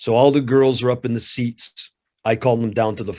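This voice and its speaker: A man with a Canadian accent speaks at medium pitch. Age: 50s. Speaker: martial arts coach and anti-bullying instructor. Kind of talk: interview. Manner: animated storytelling.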